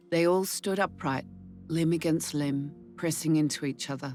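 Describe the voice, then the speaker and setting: With music in the background, a woman speaks at a fairly slow pace in a very deep, low pitch. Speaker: actress, audiobook narrator. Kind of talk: audiobook reading.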